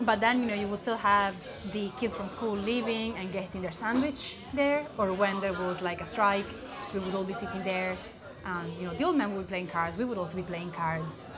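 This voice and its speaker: Speech in an Italian accent at a moderate pace, ordinary pitch variation, music in the background. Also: woman, medium pitch for a woman. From Italy. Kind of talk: casual interview.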